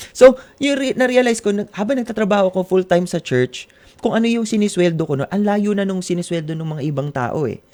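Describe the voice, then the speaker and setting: A man's high-pitched voice, very fast and with lively intonation. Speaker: pastor. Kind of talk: interview testimony.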